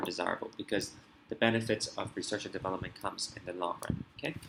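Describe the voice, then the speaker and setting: Intonation stays fairly even while the words rush by at a very fast pace. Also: man. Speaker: IB economics tutor. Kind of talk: tutorial.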